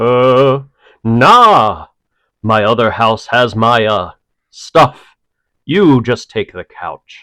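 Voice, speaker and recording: A man puts on a character voice at a medium pitch, speaking at a very slow pace with long, frequent pauses. The sound is dry and close with no echo, on a very clean recording with a silent background. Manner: smarmy, showy, cheesy.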